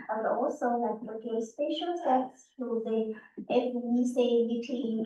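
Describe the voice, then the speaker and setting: Speaking fairly slowly in a Chinese accent, a woman uses a high pitch with fairly even intonation. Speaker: parent council member. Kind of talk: prepared statement at public meeting.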